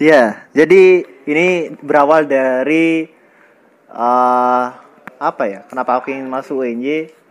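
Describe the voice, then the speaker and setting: Fairly slow delivery from a man with a fairly high pitch, ordinary pitch variation and long, frequent pauses. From Indonesia, Bangka (born in Bantul, Yogyakarta). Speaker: university student. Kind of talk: casual interview. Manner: hesitant, many fillers.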